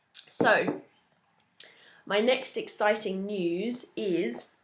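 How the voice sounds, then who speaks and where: Heard in a very clean recording with a silent background, a woman speaks with an English accent. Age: 20s. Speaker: knitting podcaster. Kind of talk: casual chat.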